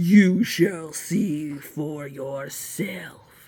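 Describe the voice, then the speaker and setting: A bellowing, put-on character voice at a middle pitch. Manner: roaring, defiant.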